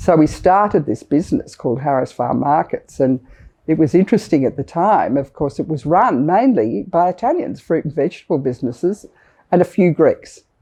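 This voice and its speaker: With an Australian accent, the voice has a dark, mellow tone. It moves at a fairly quick pace with very wide pitch swings. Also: woman, very deep, low pitch for a woman. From Australia (Sydney). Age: 60s. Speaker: business leader, retail chairperson. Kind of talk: interview testimony.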